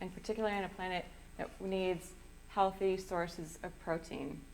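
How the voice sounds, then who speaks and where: There is audible room echo as a woman talks very fast at a medium pitch, her intonation fairly even. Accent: American. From US Midwest, southwest Wisconsin. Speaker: sustainable seafood program manager. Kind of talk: public lecture.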